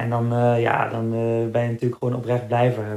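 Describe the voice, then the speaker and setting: A man speaks in a dark, mellow tone. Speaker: marathon runner. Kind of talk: casual chat.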